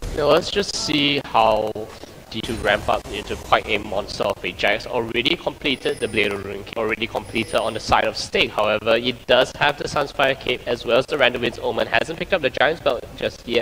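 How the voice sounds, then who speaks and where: Noticeable background noise sits under a man who talks fairly quickly. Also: hardly any pauses. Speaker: esports caster. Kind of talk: live commentary. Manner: soft-spoken.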